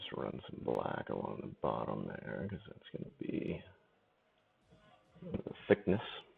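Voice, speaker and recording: Over music in the background, a man with a very deep, low pitch talks at a fairly slow pace, leaving long, frequent pauses, while his pitch swings very widely and his loudness rises and falls sharply. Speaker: live painting streamer. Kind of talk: casual chat. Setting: live stream.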